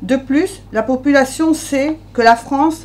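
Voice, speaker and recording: A woman speaks in a high voice with ordinary pitch variation. Noticeable background noise sits behind her. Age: 50s. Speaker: local election candidate. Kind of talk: press conference statement.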